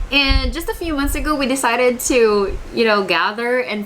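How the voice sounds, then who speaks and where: A woman's fairly high voice with lively intonation, moderate pace, and noticeable background noise. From Philippines, Iloilo (Panay). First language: Hiligaynon. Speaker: book YouTuber. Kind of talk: casual vlog answering tag questions. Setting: home, bookshelf behind. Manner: conversational with fillers.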